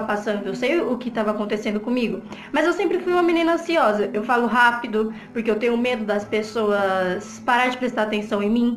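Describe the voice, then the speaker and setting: A woman's high, lively voice at a fairly quick pace, with audible room echo and noticeable background noise. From Brazilian Northeast. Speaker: vlogger. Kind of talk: personal testimony vlog. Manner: breathless.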